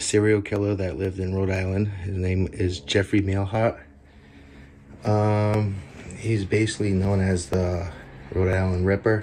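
A man talks at a fairly low pitch with a dark, mellow tone and monotone, flat intonation. He goes at a fairly slow pace with long, frequent pauses over light background noise. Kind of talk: casual vlog narration. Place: kitchen. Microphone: phone near.

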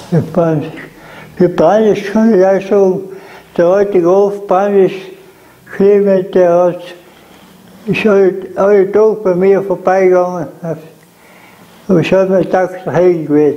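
A man with a South Tyrolean accent and a high voice talks at a fairly slow pace in a flat monotone. His loudness stays very even, and his pauses are long and frequent. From South Tyrol, Lana. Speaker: contemporary witness. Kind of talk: interview answer. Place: home room. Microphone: lapel.

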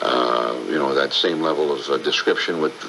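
A moderate pace over noticeable background noise. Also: man. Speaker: baseball radio broadcaster. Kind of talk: interview answer, storytelling about radio. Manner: conversational, hesitant with fillers.

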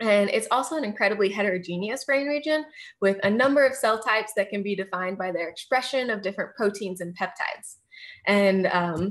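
With an American accent, a woman speaks at a fairly quick pace in a fairly high pitch. Her pitch variation is ordinary, and the background is quiet. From US Midwest, outside Kansas City, Missouri; Missouri. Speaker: neuroscience graduate student; presenter. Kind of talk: lecture. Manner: frequent filler words and hesitations.

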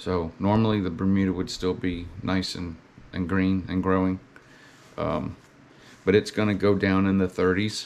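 With a Southern US accent, a man speaks at a moderate pace in a very deep, low pitch. His intonation stays monotone and flat, broken by long, frequent pauses. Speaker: lawn care business owner and video blogger. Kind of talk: casual vlog monologue.

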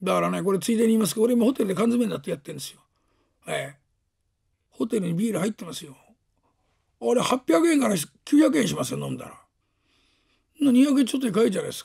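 A man's raspy, put-on character voice, high-pitched with very wide pitch swings, very fast yet broken by long, frequent pauses. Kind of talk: rakugo storytelling. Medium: stage play. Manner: rambling, sardonic.

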